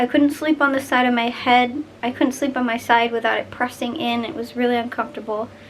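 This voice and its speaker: A high-pitched woman's voice at a fairly quick pace, with fairly even intonation, hardly any pauses, and noticeable background noise. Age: young. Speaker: vlogger. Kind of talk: personal vlog. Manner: casual, chatty.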